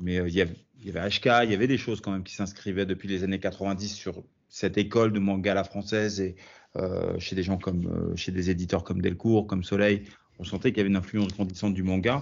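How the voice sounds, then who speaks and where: In a flat monotone, a man talks fairly quickly at a fairly low pitch. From France. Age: 40s. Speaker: comic book author. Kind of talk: interview.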